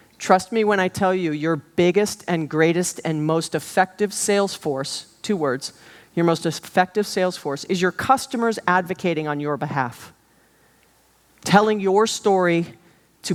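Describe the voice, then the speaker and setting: A woman with an American accent speaks at a fairly low pitch and moderate pace. Hers is an ordinary speaking voice with ordinary pitch variation. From Hawaii. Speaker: business keynote speaker. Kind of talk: keynote talk. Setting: stage with audience.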